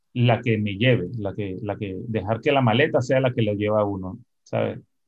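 A man's fairly even intonation at a fairly slow pace. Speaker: musician and composer. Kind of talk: interview conversation. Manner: halting, repeats words.

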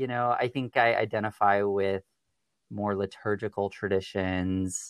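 A man with an American accent, a fairly low pitch, fairly even intonation and a fairly slow pace, an ordinary speaking voice, dry, close sound with no echo on a very clean recording with a silent background. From US Pacific Northwest. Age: 20s. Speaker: podcast guest, counseling student. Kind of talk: interview conversation.

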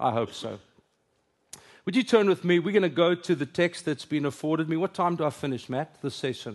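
Against a quiet background, a man speaks with a South African accent. His pitch is fairly high and his intonation is lively. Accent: Afrikaans South African English. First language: Afrikaans. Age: 50s. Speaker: pastor. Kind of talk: sermon. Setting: stage with audience.

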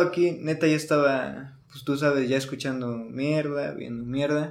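A man speaks in a fairly high pitch with a Mexican accent. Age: 20s. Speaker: guest in recovery. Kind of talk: personal testimony. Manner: quiet, not talkative.

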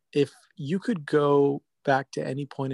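A man's dark, mellow tone with fairly even intonation, in a dry, close sound with no echo. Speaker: podcast host. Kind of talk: interview.

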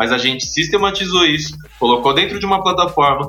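A man's lively intonation, with audible room echo and music in the background. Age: 30s. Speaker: entrepreneur. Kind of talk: interview.

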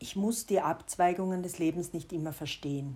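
A woman speaks at a fairly slow pace in a somewhat breathy, dark, mellow voice of fairly low pitch with ordinary pitch variation. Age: 40s. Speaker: personal diarist, podcaster. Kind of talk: personal narration, confessional.

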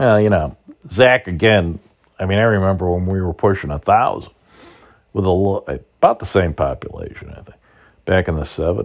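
A man with a very deep, low voice talks at a fairly quick pace with long, frequent pauses, big swings in loudness and ordinary pitch variation. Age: 60s. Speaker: podcast host, political commentator. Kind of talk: solo commentary monologue. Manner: casual, hesitant with frequent fillers.

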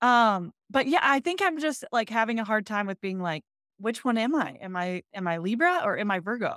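A fairly high-pitched woman's voice with an American accent and very wide pitch swings, dry and close with no echo, in a very clean recording with a silent background. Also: moderate pace. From Michigan, US Midwest. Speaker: dietitian. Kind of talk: casual interview chat.

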